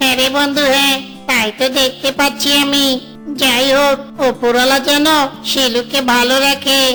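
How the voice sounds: A cartoonish character voice that sounds female, high in pitch, goes at a fairly slow pace with clear music in the background.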